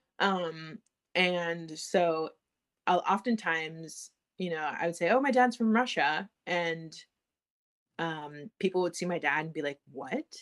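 A woman with an American accent, fairly low in pitch, at a fairly slow pace with ordinary pitch variation and long, frequent pauses, on a very clean recording with a silent background. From United States. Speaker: podcast guest, daughter of a Sakha teacher. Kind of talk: casual interview chat.

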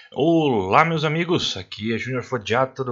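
In a plain, everyday voice, a man speaks at a fairly slow pace with ordinary pitch variation. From Paraná, Brazil. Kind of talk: podcast intro.

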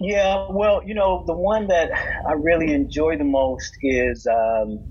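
A man speaks in an American accent. There is noticeable background noise. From Indiana. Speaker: criminal defense lawyer. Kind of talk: casual interview chat.

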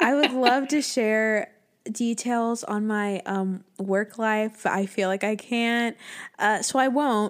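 A woman's fairly high voice, very slow and fairly even in intonation. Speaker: podcast co-host. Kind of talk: casual chat.

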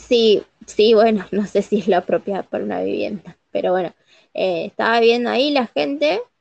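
A woman with an unremarkable speaking voice talks at a moderate pace and a fairly high pitch. Her intonation is lively, and the sound is dry and close with no echo. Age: 30s. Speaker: podcast co-host. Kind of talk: casual chat.

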